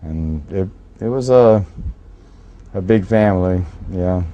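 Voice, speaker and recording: A very deep, low male voice in an American accent. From Jacksonville, Florida. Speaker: musician. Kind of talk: interview. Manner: halting.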